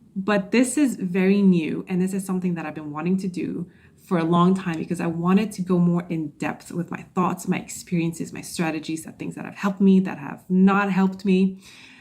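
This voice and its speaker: Fairly quick speech with hardly any pauses, fairly even intonation and big swings in loudness, over noticeable background noise. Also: woman, medium pitch for a woman. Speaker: podcast host and social anxiety coach. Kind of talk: solo podcast monologue. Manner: stuttering, stumbling at times.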